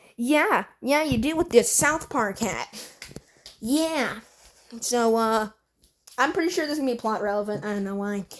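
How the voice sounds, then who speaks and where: A woman speaks in a high pitch with lively intonation and a bored tone. Long pauses come often. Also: moderate pace. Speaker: YouTube animation reviewer. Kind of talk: video review commentary. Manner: bored-sounding; halting.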